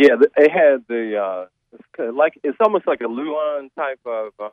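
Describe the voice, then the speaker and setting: Using a Southern US accent, a man speaks at a fairly slow pace with lively intonation and big swings in loudness. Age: old. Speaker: caller, retired university maintenance worker. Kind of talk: call-in question. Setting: phone call. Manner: halting, many fillers.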